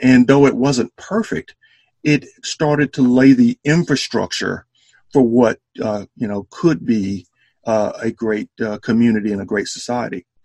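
In an Alabama accent, a man talks at a fairly slow pace in a medium pitch with ordinary variation and a dark, mellow tone. The sound is dry and close, with no echo. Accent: Southern US (Alabama). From US South, Selma, Alabama. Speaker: historian and entrepreneur. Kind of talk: interview. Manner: halting, many fillers.

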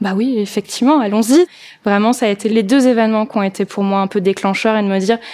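Her voice sits at a medium pitch. The woman's intonation stays fairly even. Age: 30s. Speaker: vintage shop owner and event organizer. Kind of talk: testimony. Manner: casual with hesitations.

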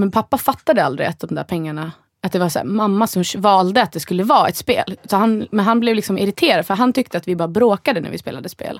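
Lively in intonation, a woman talks at a medium pitch and a very fast pace. The sound is dry and close, with no echo. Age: 30s. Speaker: podcast co-host. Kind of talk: casual chat.

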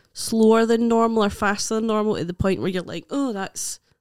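With a Scottish accent, a woman speaks at a fairly high pitch and a moderate pace, her intonation fairly even and the sound dry and close with no echo. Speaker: comedian. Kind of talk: casual chat.

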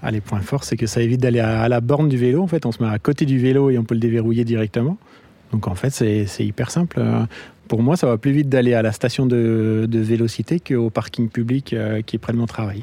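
A man talks at a fairly quick pace in a medium pitch, with ordinary pitch variation. It is a plain, everyday voice, very even in loudness. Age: 30s. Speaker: app user, commuter. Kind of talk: street interview.

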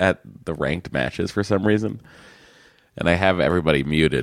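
A man speaks with a very deep, low pitch, vocal fry and ordinary pitch variation. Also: very clean recording, silent background. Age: 40s. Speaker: podcast co-host. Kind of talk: casual chat.

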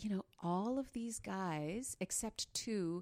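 The speaker talks at a very slow pace with a Canadian accent in a very clean recording with a silent background. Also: woman. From Northern Ontario, Canada. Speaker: classical and cabaret singer. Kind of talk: casual interview.

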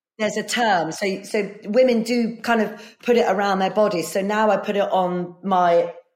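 A woman talks with an English accent. Her pace is fairly slow. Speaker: performer. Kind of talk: casual chat. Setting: video call. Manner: animated.

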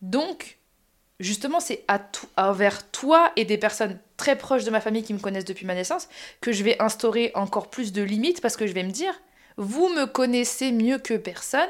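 A woman with a fairly high pitch speaks at a moderate pace with lively intonation in an ordinary speaking voice. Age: 30s. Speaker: podcast host. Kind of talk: casual chat. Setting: sharing one mic with her mother.

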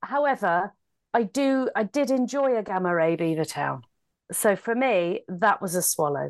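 This woman talks at a medium pitch, her voice making very wide pitch swings. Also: moderate pace. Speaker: podcast host and comedian. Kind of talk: casual chat.

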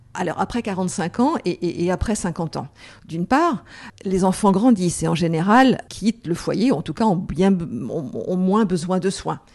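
A woman's fairly low voice with vocal fry, a dark, mellow tone and lively intonation, against a quiet background. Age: 50s. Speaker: entrepreneur and author. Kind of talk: interview. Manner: halting, frequent repetitions.

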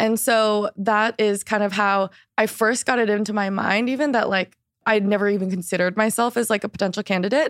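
In a very clean recording with a silent background and a dry, close sound with no echo, a woman speaks in a normal speaking voice at a fairly quick pace, her pitch fairly high and her intonation fairly even. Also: very even loudness. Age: 20s. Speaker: period activist and brand founder. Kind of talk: casual interview.

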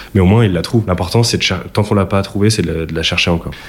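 Very fast and with fairly even intonation, a man speaks at a very deep, low pitch. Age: 20s. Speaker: venture capital analyst. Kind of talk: interview. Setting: office premises. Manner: hesitant with fillers.

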